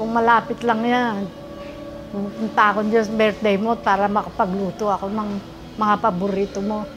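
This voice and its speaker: A woman speaks at a moderate pace in a flat monotone. Noticeable background noise runs underneath. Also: medium pitch for a woman. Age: old. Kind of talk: birthday video greeting.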